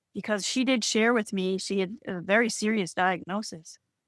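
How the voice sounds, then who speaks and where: A woman with an American accent speaks at a moderate pace and medium pitch. Hers is a normal speaking voice with fairly even intonation. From Boston area, Massachusetts. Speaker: spiritual healer. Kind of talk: podcast interview.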